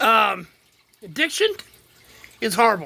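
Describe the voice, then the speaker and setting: The speaker has a Texas accent and an animated tone. The pace is moderate. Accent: Texas Southern US. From Texas, Houston. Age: 60s. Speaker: vlogger, retired plumber. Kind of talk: casual monologue.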